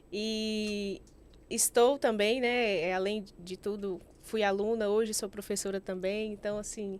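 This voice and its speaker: A woman speaks at a fairly slow pace with a Bahian accent. Her pitch is medium and her intonation fairly even. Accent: Bahian (far south of Bahia), noticeable. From Bahia, Brazil (far south, rural village). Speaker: investment specialist and financial planner. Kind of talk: podcast interview.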